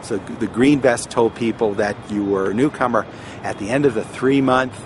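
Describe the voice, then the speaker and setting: A man's medium-pitched voice at a moderate pace with ordinary pitch variation, over noticeable background noise. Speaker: former airline baggage handler. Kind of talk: casual talk to camera, personal oral history. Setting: outdoors.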